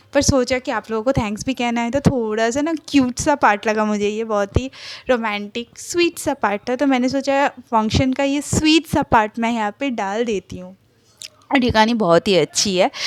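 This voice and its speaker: A woman speaks with a Bengali accent. Her pitch variation is ordinary. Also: fairly high pitch for a woman, moderate pace, dry, close sound with no echo, very clean recording, silent background. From Kolkata, India. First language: Bengali (speaking Hindi). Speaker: fan fiction narrator YouTuber. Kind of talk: casual vlog talk to viewers.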